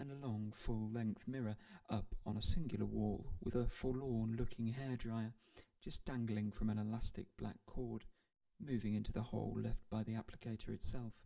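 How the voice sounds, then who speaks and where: A man's dark, mellow voice with a British accent, medium in pitch, with fairly even intonation and a moderate pace. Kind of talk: audiobook narration. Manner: soft-spoken.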